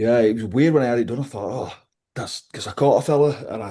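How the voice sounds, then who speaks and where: In a Yorkshire accent, a dark, mellow voice speaks at a very fast pace with ordinary pitch variation against a quiet background. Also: man. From West Yorkshire, England (Liversedge). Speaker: professional wrestler, ex-rugby league player. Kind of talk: casual interview chat.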